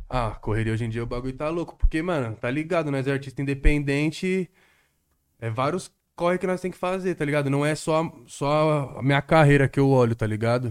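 Very fast talk from a man with a medium pitch. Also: very clean recording, silent background. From Guarulhos, São Paulo state, Brazil. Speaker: independent rap artist. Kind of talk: casual chat.

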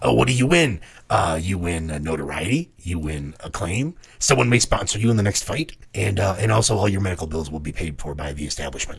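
A man puts on a character voice that is raspy and very deep and low in pitch. He speaks at a fairly quick pace with lively intonation. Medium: actual play. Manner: polite, salesman-like, unbending about money.

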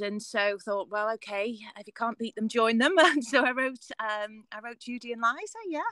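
A woman with an unremarkable speaking voice talks at a moderate pace and a fairly high pitch, with ordinary pitch variation. The sound is dry and close, with no echo. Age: 40s. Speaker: musical theatre performer. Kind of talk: interview.

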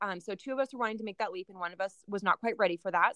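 A woman with a West Coast accent, medium in pitch, with a bright, sharp tone and a dry, close sound with no echo. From Oregon, US Pacific Northwest (Salem). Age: 20s. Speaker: nurse and business owner. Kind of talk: interview. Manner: casual, laughing often.

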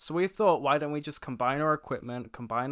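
The recording is very clean, with a silent background. A man mumbles at a moderate pace with ordinary pitch variation. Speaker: guest, film podcaster and producer. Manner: mumbles, casual.

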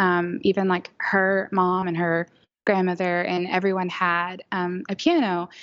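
A woman with an ordinary speaking voice talks at a medium pitch in an American accent. Her pace is fairly slow and her intonation fairly even. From Oklahoma City. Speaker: business owner and musician. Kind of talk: casual interview chat.

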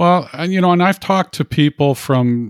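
A man talks in an ordinary speaking voice at a fairly slow pace with ordinary pitch variation. The sound is dry and close, with no echo. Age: 60s. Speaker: podcast host. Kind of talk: casual interview. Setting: remote call.

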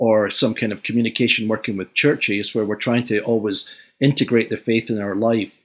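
Recorded very cleanly against a silent background, a man with a Scottish accent talks at a moderate pace and medium pitch in a monotone, flat intonation. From Scotland, Glasgow. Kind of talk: interview discussion.

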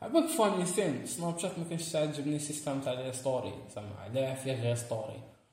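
Fairly high-pitched and quick, a man speaks with lively intonation and hardly any pauses, amid noticeable background noise and audible room echo. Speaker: podcast co-host. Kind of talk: casual chat.

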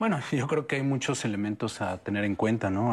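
A man's fairly low pitch in an ordinary speaking voice, with ordinary pitch variation and a moderate pace, on a very clean recording with a silent background. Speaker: psychologist. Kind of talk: panel discussion.

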